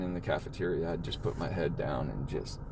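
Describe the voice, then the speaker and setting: A man's voice with audible room echo. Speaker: podcast host living with Tourette syndrome. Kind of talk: personal testimony in casual chat. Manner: halting, with repeated restarts.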